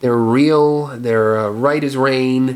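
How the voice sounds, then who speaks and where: Very slow delivery with ordinary pitch variation. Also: man. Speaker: filmmaker and video blogger. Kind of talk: casual rant video.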